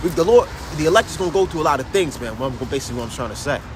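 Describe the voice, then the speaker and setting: Very fast speech comes from a man with a high pitch and very wide pitch swings. Background noise is noticeable. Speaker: religious livestreamer. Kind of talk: live stream monologue. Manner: halting, repetitive.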